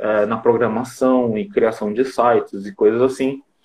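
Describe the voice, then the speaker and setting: Male voice with ordinary pitch variation. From Japan (Brazilian community). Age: 20s. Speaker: digital marketer and live-stream host. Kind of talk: casual live-stream chat. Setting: live stream video call.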